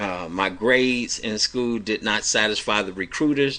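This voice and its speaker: A loud, bright, sharp voice with an American accent at a fairly slow pace. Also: man. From Cleveland, Ohio. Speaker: evangelist radio host. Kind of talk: personal testimony.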